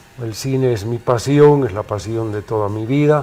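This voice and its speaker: Speech moves at a fairly slow pace. Noticeable background noise sits behind it. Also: man. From Bolivia, La Paz. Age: 60s. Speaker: film critic and city councillor. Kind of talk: interview.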